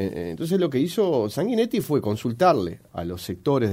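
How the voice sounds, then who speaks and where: On a very clean recording with a silent background, a man speaks fairly slowly in a dark, mellow tone with very wide pitch swings. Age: 40s. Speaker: politician. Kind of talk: radio interview. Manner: halting, frequent fillers.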